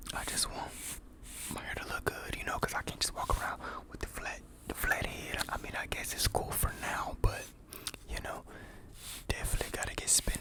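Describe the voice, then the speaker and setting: Whispering at a fairly quick pace, a man speaks with long, frequent pauses over noticeable background noise. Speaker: ASMR creator. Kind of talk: ASMR whisper video. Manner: whispered.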